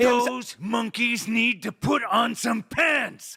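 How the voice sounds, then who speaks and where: A man shouts in a put-on character voice at an extremely high pitch for a man. He goes at a very slow pace. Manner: angry, screaming.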